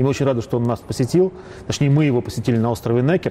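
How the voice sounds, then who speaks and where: Noticeable background noise sits behind a man with a Russian accent. His pitch is medium, with ordinary pitch variation. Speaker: narrator and commentator. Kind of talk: scripted narration.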